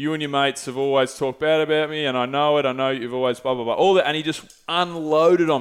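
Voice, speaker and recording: With an Australian accent, a man talks at a very fast pace, his fairly high pitch held in fairly even intonation. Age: 30s. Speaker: podcast host. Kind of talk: sales pitch; casual chat. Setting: studio.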